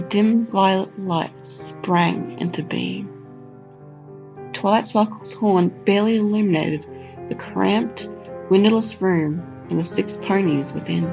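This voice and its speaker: With an Australian accent, the speaker talks at a fairly slow pace with long, frequent pauses while music plays in the background. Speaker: narrator. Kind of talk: horror story narration.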